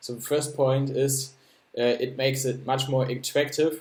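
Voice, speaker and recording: Bright and sharp in tone, a man with a German accent speaks at a medium pitch in a monotone, flat way. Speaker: project founder presenting a crypto project. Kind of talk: explainer presentation. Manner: halting, many fillers and repetitions.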